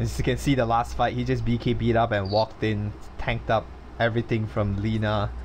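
Talking at a fairly quick pace, a man with a fairly low pitch makes very wide pitch swings while his loudness stays very even, with noticeable background noise behind him. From Malaysia. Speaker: esports caster. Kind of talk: live commentary. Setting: online voice call.

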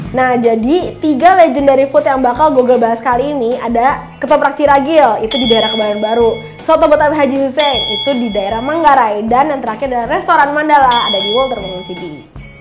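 A woman at a very fast pace with hardly any pauses and ordinary pitch variation, over loud music in the background. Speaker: magazine video host. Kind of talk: casual presenter talk to camera. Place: studio.

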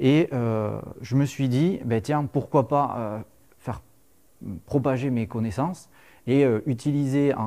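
A man talks at a very slow pace in a dark, mellow tone, with long, frequent pauses. The background is quiet. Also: ordinary pitch variation. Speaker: lecturer on Roman military history, civil engineer. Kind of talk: lecture. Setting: lecture hall with audience. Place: classroom.

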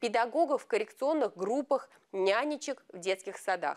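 Lively intonation and a moderate pace mark this speech, heard against a quiet background. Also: woman. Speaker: TV news reporter. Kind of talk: news report narration. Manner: formal. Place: studio. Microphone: lapel.

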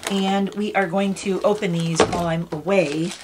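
A woman's voice over noticeable background noise. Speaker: unboxing vlogger. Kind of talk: casual vlog chat. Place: home room.

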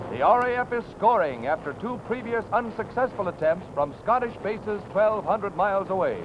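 A man's high-pitched voice at a moderate pace, with ordinary pitch variation and noticeable background noise. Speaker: newsreel narrator. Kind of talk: newsreel narration. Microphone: old recording.

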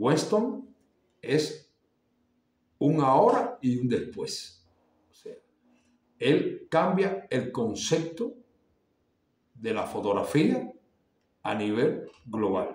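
A man speaks at a very slow pace with vocal fry and long, frequent pauses, and audible room echo surrounds his voice. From Cuba. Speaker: artist and YouTuber; visual arts vlogger. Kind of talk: casual monologue to camera. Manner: halting, many fillers and repetitions. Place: home room. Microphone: phone near.

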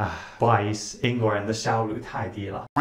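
Somewhat breathy and at a moderate pace, a man's voice carries audible room echo and light background noise. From United Kingdom. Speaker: English teacher. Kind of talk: casual talk to camera.

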